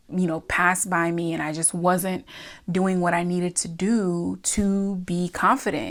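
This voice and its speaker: Delivered at a fairly slow pace with fairly even intonation, a plain, everyday voice comes through on a very clean recording with a silent background. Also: woman. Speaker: self-improvement and crystal content creator. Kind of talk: casual talk to camera. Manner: friendly, conversational, motivational pep talk.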